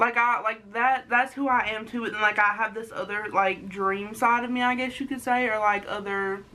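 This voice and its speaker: A woman speaks at a moderate pace with hardly any pauses, her pitch fairly high and her intonation monotone and flat. Noticeable background noise runs underneath. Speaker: vlogger. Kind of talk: casual chat. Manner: halting.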